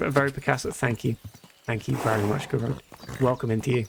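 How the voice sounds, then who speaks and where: A man with a British accent talks at a fairly quick pace with fairly even intonation. Noticeable background noise is present. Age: 20s. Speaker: video game streamer. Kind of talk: live gameplay commentary, casual chat with viewers. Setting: live stream.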